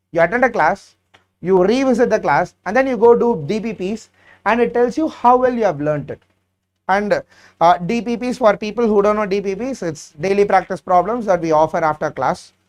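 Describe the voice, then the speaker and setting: Fairly quick speech in a Tamil accent with ordinary pitch variation. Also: man, high pitch for a man. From South India, Chennai. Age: 30s. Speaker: exam prep teacher. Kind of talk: live Q&A session. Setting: live stream.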